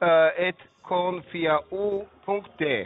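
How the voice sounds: A man speaks at a slow pace with a high pitch. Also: ordinary pitch variation.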